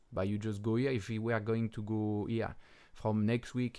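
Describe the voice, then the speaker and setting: In a French accent, the speaker delivers the lines in a monotone, flat intonation. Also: man. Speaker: crypto trading analyst, video host. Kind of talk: chart analysis commentary. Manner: casual, hesitant with fillers.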